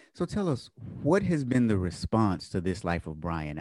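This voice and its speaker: This man has an unremarkable speaking voice, fairly low in pitch, at a fairly quick pace. The sound is dry and close with no echo, in a very clean recording with a silent background. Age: 40s. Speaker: podcast host. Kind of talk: interview conversation.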